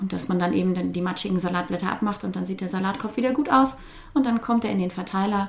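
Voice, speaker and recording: A woman talks at a fairly quick pace, her pitch varying in an ordinary way, with noticeable background noise behind her. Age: 30s. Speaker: teacher and food-sharing volunteer. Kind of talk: interview.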